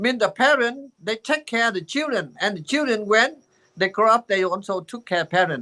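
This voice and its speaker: A man uses a raised, projected voice, high-pitched with a bright, sharp tone and ordinary pitch variation, at a moderate pace. The sound is dry and close with no echo, and the background is quiet. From Vietnam. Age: 80s+. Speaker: Buddhist teacher. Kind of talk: dharma talk. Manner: halting.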